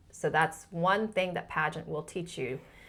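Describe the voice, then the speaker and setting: Her voice is fairly low with vocal fry, and this woman keeps a fairly even intonation at a fairly slow pace. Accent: American. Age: 50s. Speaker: pageant winner and former scientist. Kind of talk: interview conversation.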